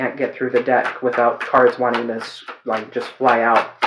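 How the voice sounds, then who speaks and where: Background noise is noticeable. The speech moves at a fairly quick pace. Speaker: tarot reader. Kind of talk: tarot reading monologue. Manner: fast; chatty.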